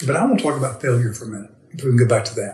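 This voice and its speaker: Somewhat breathy, a man's medium-pitched voice shows ordinary pitch variation. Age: 60s. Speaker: financial advisor and military veteran. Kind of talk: interview. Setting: portable recorder on a table, not in a studio.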